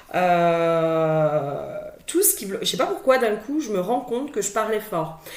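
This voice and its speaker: Loud and at a fairly slow pace, a woman's voice makes very wide pitch swings, with audible room echo. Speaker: spiritual guidance card reader. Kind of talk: tarot guidance monologue. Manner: hesitant, many filler words and repetitions.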